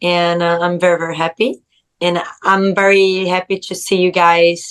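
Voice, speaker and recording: Speaking at a moderate pace with a Portuguese accent, a woman uses a fairly low pitch and monotone, flat intonation. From Brazil. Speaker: rugby sevens player. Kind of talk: podcast interview.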